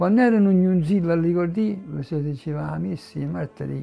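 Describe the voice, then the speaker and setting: There is music in the background. A man with a Neapolitan accent speaks at a moderate pace. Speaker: poet reading own work. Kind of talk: poetry reading.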